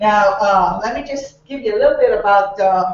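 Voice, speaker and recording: A moderate pace in a Bahamian accent. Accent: Bahamian accent, noticeable. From Bahamas, Nassau. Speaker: comedian. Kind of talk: stand-up.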